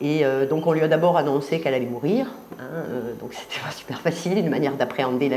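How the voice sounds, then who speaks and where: A speaker with a Marseille accent talks at a very fast pace with ordinary pitch variation, with audible room echo and noticeable background noise. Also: woman. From Marseille, southern France. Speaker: artist. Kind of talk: interview. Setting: filmed interview at exhibition. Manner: halting, many hesitations.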